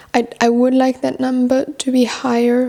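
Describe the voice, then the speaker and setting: Noticeable background noise surrounds this woman's voice. She keeps a moderate pace. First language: French. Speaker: book vlogger. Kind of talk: casual chat. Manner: casual, with fillers and repetitions.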